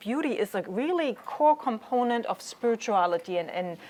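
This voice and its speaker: A woman with a German accent, fairly high pitch and very wide pitch swings at a moderate pace. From Germany. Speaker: chaplain. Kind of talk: lecture.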